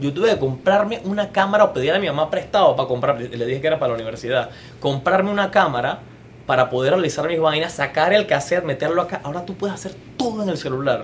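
With noticeable background noise behind him, a man speaks very fast in a high voice with lively intonation. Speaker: theatre and TV producer. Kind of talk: casual interview chat.

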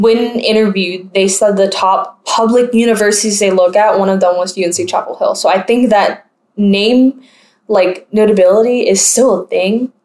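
A woman with an American accent in an ordinary speaking voice, at a medium pitch and a moderate pace, with fairly even intonation and very even loudness. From US South, North Carolina. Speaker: podcast host. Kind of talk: casual chat.

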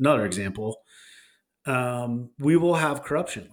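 A plain, everyday voice with an American accent and ordinary pitch variation, on a very clean recording with a silent background. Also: man. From Texas. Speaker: podcast co-host. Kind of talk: casual chat.

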